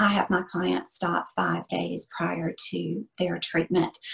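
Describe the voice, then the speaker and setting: Vocal fry runs through this woman's speech, delivered at a very slow pace. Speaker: esthetician and instructor. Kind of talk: webinar teaching.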